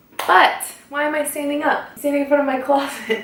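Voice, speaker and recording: A woman talks at a moderate pace with audible room echo and noticeable background noise around her. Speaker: beauty and fashion vlogger. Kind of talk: casual vlog talk to camera.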